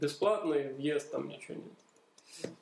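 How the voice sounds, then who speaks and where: A man with an unremarkable speaking voice talks at a fairly high pitch, using ordinary pitch variation. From Donbas, Ukraine (Horlivka). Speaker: university chemistry lecturer. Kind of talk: casual interview.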